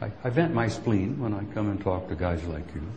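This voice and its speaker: With an American accent, a man speaks at a fairly slow pace and with lively intonation. Noticeable background noise can be heard. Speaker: retired army sergeant major, UFO speaker. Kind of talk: conference talk to live audience. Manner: rambling, impassioned.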